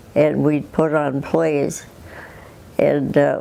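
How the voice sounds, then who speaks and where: A woman speaks with an Upper Midwest accent against noticeable background noise. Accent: Upper Midwest American. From southwestern Minnesota, USA. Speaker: retired farm woman. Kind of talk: interview answer.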